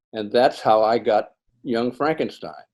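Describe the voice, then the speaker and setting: At a moderate pace, a man speaks with medium pitch and a dark, mellow tone. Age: 80s+. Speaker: film gaffer. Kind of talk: interview storytelling.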